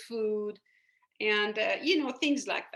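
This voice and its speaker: Here a woman speaks in a Persian accent with a fairly high pitch. Her tone is bright and sharp, with ordinary pitch variation. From Iran. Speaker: spiritual coach and hypnotherapist. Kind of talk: podcast interview. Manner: hesitant, many fillers.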